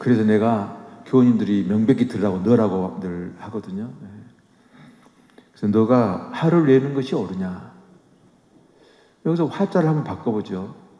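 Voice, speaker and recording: Man at a medium pitch, lively intonation, moderate pace and long, frequent pauses, with noticeable background noise and audible room echo. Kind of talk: sermon. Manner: conversational, with fillers.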